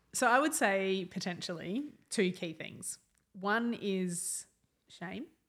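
An Australian-accented woman with a medium pitch speaks at a very slow pace, with lively intonation and big swings in loudness. The recording is very clean, with a silent background. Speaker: counsellor and speaker. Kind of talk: podcast interview.

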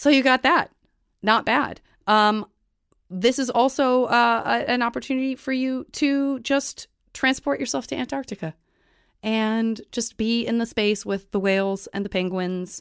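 In an American accent, a woman speaks at a fairly slow pace with a fairly high pitch, an animated tone and ordinary pitch variation, on a very clean recording with a silent background and a dry, close sound with no echo. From Tucson, Arizona. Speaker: podcast host. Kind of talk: casual chat.

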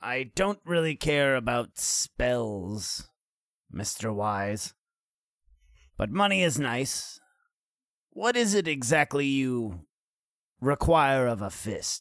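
A man in a put-on character voice, medium in pitch, talks very slowly with very wide pitch swings and long, frequent pauses. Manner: boastful, blunt, swaggering.

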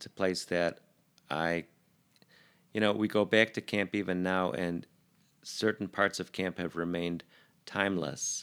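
With an American accent, a man talks in a very deep, low pitch at a fairly slow pace, his intonation fairly even and his pauses long and frequent, on a very clean recording with a silent background. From Chicago, US. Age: 50s. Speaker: doctor. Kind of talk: casual chat. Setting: studio.

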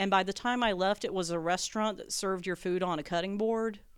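Woman in a normal speaking voice with an American accent, medium pitch and fairly even intonation, on a very clean recording with a silent background. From US South, rural North Carolina. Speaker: comedian. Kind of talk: casual chat.

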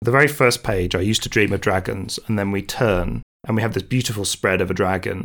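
A man's normal speaking voice, fairly low in pitch, with ordinary pitch variation, a fairly quick pace and hardly any pauses. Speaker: podcast co-host and comics creator. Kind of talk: casual podcast discussion of a comic.

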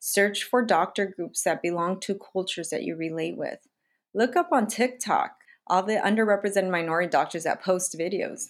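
With an American accent and a plain, everyday voice, a woman speaks at a moderate pace and medium pitch with ordinary pitch variation, in a very clean recording with a silent background. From US, low-income diverse community. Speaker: doctor and podcast host. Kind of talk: casual chat.

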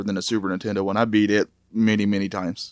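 Delivered at a very fast pace, the speech has an animated tone and comes through on a very clean recording with a silent background. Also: man. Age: 30s. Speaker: video game expert guest. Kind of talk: casual podcast chat. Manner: animated, jokey.

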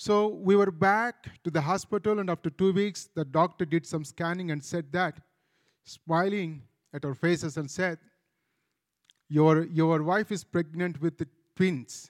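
A man with an Indian accent speaks slowly-ish in a high pitch with fairly even intonation, recorded very cleanly against a silent background with a dry, close sound and no echo. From India, Andhra Pradesh. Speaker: pastor. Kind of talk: testimony.

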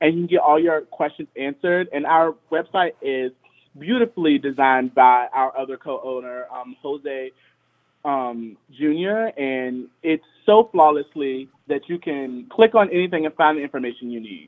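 A man talks with an American accent at a moderate pace. His intonation is lively, and his loudness swings widely. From Richmond, Virginia. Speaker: dance studio co-owner and choreographer. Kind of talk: interview. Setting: phone call.

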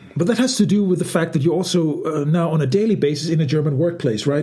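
Against noticeable background noise, a man with a high voice talks at a fairly quick pace with lively intonation. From Denmark. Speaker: podcast host. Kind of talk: casual chat. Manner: halting.

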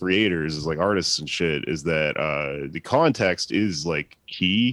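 A man with an American accent speaks at a fairly slow pace. His intonation is lively, and the background is quiet. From Texas. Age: 30s. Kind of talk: casual chat.

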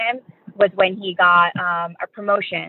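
With ordinary pitch variation at a medium pitch, a woman talks in an ordinary speaking voice. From New York. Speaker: medical student and grief educator. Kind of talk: interview.

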